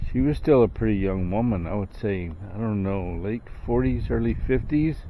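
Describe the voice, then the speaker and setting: A man speaks at a fairly slow pace in a very deep, low voice with a dark, mellow tone, relaxed, with audible room echo. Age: 60s. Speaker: vlogger. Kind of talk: casual monologue. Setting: outdoors, night walk. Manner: relaxed, with fillers.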